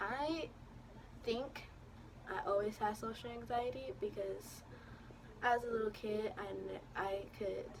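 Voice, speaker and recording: Long, frequent pauses break up a woman's very slow delivery. Her voice carries audible room echo. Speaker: vlogger. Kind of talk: storytime vlog. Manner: stuttering, halting with fillers.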